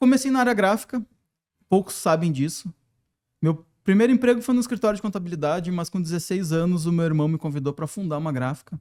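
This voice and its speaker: The voice has a southern Brazilian accent and a very fast pace with lively intonation. The sound is dry and close with no echo. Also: man, high pitch for a man. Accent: gaúcho. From southern Brazil, Porto Alegre. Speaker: design professor and consultant. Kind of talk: podcast interview.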